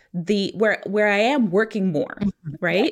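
Speaking at a fairly slow pace in a medium pitch, a woman with an American accent uses a normal speaking voice. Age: 40s. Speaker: attorney and financial coach. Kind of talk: casual interview.

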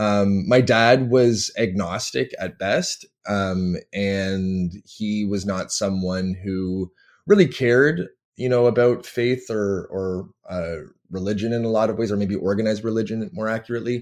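A man with a Canadian accent speaks in a plain, everyday voice, fairly low in pitch with ordinary pitch variation, over a quiet background. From Canada (Toronto, Ontario). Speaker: PhD candidate and university teacher. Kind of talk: interview.

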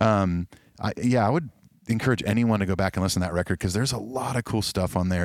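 A man with an American accent speaks at a fairly low pitch with ordinary pitch variation. The recording is very clean, with a silent background and a dry, close sound with no echo. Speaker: musician. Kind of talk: casual chat. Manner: halting.

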